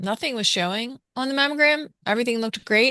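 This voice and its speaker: Recorded with a dry, close sound with no echo against a quiet background, a woman speaks in a plain, everyday voice at a moderate pace with ordinary pitch variation. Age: 60s. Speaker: breast cancer survivor. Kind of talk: interview testimony.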